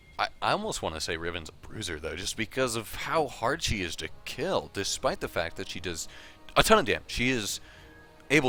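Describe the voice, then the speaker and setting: Over music in the background, a man talks at a fairly quick pace with a medium pitch. His pitch swings very widely and his loudness shifts in big swings. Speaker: game commentator. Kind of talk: esports match commentary.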